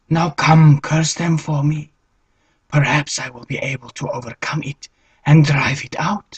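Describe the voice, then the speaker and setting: A man uses a put-on character voice pitched fairly high. He talks at a fairly slow pace with fairly even intonation. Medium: read story.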